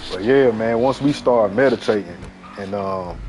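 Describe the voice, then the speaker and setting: A man's animated, fairly low-pitched voice with ordinary pitch variation over noticeable background noise. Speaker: gaming livestreamer. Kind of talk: casual chat. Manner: fast.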